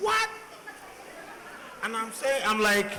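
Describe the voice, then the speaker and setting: In a strong Nigerian accent, a man with a high pitch projects a raised voice at a very slow pace, with audible room echo and noticeable background noise. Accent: thick Nigerian English. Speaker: panelist, doctor. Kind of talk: panel discussion. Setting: stage with audience.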